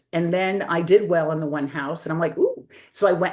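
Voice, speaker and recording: A woman speaks at a moderate pace and fairly low pitch with a slight East Coast accent. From US East Coast. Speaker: interior designer. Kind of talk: interview. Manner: chatty, talkative.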